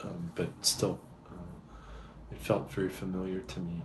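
Vocal fry runs through this man's very deep, low voice. He has an American accent. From Massachusetts, US. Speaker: film critic and filmmaker. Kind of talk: interview.

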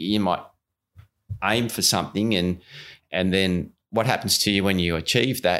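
A man with an Australian accent speaks at a fairly slow pace, with long, frequent pauses and a very deep, low pitch. His intonation stays fairly even and his loudness very even, on a very clean recording with a silent background. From Australia, New South Wales Central Coast. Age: 50s. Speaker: masters swimmer and surf swimming coach. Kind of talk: casual interview. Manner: halting.

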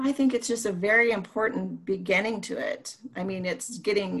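There is vocal fry in this woman's voice. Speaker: elementary school teacher and podcast co-host. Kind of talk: casual educational podcast chat.

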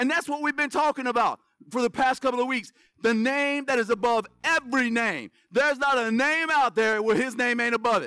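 A raised, projected voice with a bright, sharp tone comes at a fairly quick pace with ordinary pitch variation, sounding dry and close with no echo. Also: man, extremely high pitch for a man. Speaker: preacher. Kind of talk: sermon. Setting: church. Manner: animated; call-and-response.

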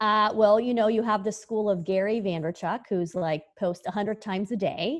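A woman speaks at a moderate pace with hardly any pauses. Her medium pitch shows ordinary variation over a quiet background. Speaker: branding business owner. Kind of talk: casual interview. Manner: slang, slightly unarticulated speech.

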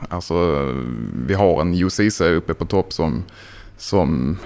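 A man's very deep, low voice with vocal fry and ordinary pitch variation. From Skåne, southern Sweden (Landskrona). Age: 30s. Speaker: football supporter, fan fund founder. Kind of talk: casual chat. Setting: studio.

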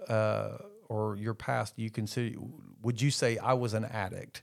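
In a very clean recording with a silent background, a man with a medium pitch talks at a fairly slow pace in an ordinary speaking voice. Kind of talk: interview with scripted intro and outro.

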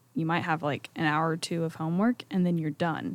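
A woman with a Southern US accent, fairly low in pitch, with fairly even intonation and a moderate pace. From Mississippi, Pontotoc. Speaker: college student. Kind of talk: casual chat.

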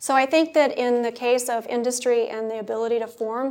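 This woman has an ordinary speaking voice, fairly high in pitch, with an American accent. Her intonation stays fairly even. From US South, rural southern Mississippi. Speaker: health policy expert. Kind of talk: live panel interview. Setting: conference stage with audience.

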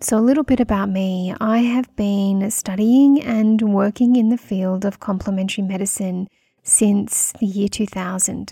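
A woman with an Australian accent, medium in pitch, somewhat breathy, with a dark, mellow tone, fairly even intonation, a moderate pace and hardly any pauses, in a very clean, dry, close recording with a silent background and no echo. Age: 40s. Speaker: podcast host, women's health practitioner. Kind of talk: solo podcast monologue.

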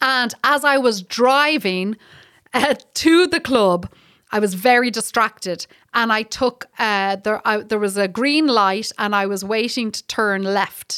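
Talking at a fairly slow pace in an Irish accent, a woman has a fairly high pitch, ordinary pitch variation and a bright, sharp tone, in a dry, close sound with no echo on a very clean recording with a silent background. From Ireland (Republic). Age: 40s. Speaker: stand-up comedian. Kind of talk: casual chat. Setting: studio.

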